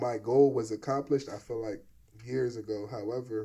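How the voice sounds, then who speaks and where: A dark, mellow voice, somewhat breathy, speaks in a flat monotone. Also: man. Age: 30s. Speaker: podcast host and videographer. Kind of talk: casual interview chat.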